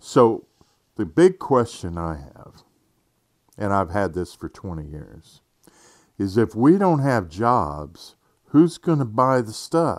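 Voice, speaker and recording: A man speaks at a very slow pace with long, frequent pauses. His fairly low pitch moves in very wide swings. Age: 50s. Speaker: podcast host. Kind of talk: casual monologue. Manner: halting, many fillers.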